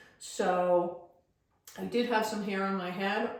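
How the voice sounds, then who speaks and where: Amid noticeable background noise and audible room echo, a woman talks. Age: 60s. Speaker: dentist sharing patient experience. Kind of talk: informal tutorial / testimony. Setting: self-recorded video.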